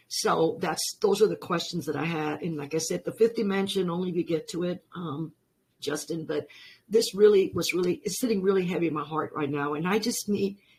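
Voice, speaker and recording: Fairly low, somewhat breathy speech from a woman at a moderate speed, its pitch varying in an ordinary way. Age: 70s. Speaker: caller. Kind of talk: call-in question. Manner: halting.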